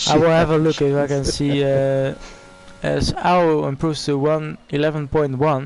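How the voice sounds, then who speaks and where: Against noticeable background noise, a man with a Dutch accent speaks at a moderate pace in a fairly high, monotone, flat voice. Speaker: esports race commentator. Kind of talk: live commentary.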